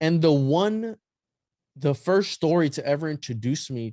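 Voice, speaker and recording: Over a quiet background, a man with a non-native accent speaks in a dark, mellow tone with lively intonation. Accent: noticeable non-native pronunciation. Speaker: podcast guest, occult history researcher. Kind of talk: casual chat.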